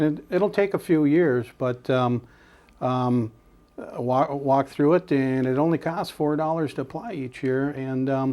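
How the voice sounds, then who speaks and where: Spoken at a fairly slow pace with an Upper Midwest accent, the voice shows ordinary pitch variation. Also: man, fairly high pitch for a man. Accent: Upper Midwest American. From Washburn, Wisconsin. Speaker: bear and deer hunting guide. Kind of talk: interview answer. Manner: hesitant, many fillers.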